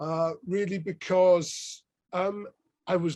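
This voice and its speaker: A man talks with a southern English accent. His pitch is high. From southern England (Sussex coast). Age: 60s. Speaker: professor. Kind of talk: interview. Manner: halting, many fillers.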